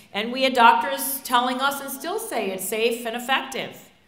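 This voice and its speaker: With audible room echo and noticeable background noise, a woman speaks in a high voice at a moderate pace. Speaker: physician. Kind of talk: speech. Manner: loud.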